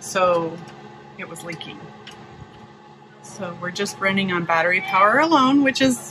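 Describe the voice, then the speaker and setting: A woman holds a moderate pace while noticeable background noise carries on around her. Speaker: sailing vlogger. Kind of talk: casual vlog chat. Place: boat. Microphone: phone near.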